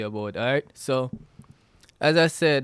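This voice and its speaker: A man with a Jamaican accent talks at a moderate pace. The recording is dry and close, with no echo. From Jamaica, Westmoreland. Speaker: podcast host. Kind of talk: casual solo podcast talk. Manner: halting, many fillers and restarts.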